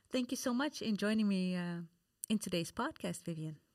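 Lively intonation in a woman's plain, everyday voice. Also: very clean recording, silent background. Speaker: podcast host. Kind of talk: interview.

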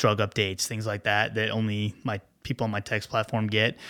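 The man's fairly low voice has a bright, sharp tone and moves at a moderate pace. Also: very clean recording, silent background. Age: 30s. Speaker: clinical pharmacist. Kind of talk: casual chat.

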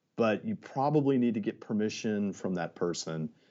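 Pitched fairly low, this man has an unremarkable speaking voice whose pitch varies in an ordinary way. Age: 50s. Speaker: media salesperson. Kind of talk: casual interview answers.

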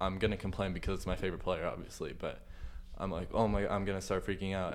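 A man's voice with audible room echo. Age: 18. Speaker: student podcast host. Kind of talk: interview.

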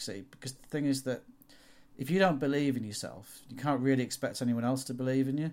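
A man with a Yorkshire accent talks at a very fast pace, his pitch medium and its variation ordinary. His loudness swings widely. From northern England, York. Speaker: automotive photographer. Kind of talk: interview.

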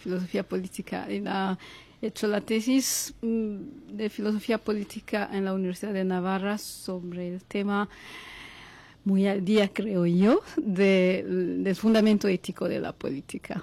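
Her dark, mellow tone sits at medium pitch. The woman keeps a fairly slow pace and fairly even intonation. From Congo. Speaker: philosophy professor. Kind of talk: interview.

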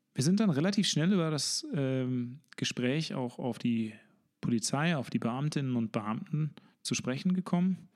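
Using a normal speaking voice, a man speaks at a fairly slow pace and fairly high pitch with lively intonation, on a very clean recording with a silent background. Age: 30s. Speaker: podcast host and local politician. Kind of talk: interview; scripted narration.

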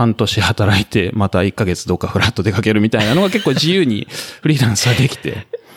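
A man's normal speaking voice, medium in pitch, with lively intonation and a fairly quick pace. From Japan, Kamakura, Kanagawa. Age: 40s. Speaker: ultramarathon runner and office worker posted abroad. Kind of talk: casual interview chat.

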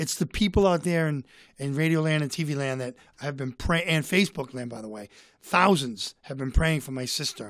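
Someone with a Boston accent talks at a fairly quick pace on a very clean recording with a silent background. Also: man. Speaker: comedian and author. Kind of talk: casual chat. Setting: studio.

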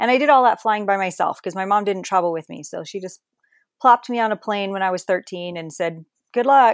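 Speaking fast-ish with a plain, everyday voice and an American accent, a woman shows ordinary pitch variation and big swings in loudness, in a very clean, dry, close recording with no echo and a silent background. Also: medium pitch for a woman. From New Jersey, Perth Amboy. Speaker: author. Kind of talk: interview, personal life story.

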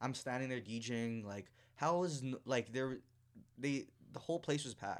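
With a Toronto accent, a man speaks at a medium pitch and a moderate pace, with ordinary pitch variation and long, frequent pauses. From Toronto, Canada (Scarborough). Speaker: DJ. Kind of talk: casual chat.

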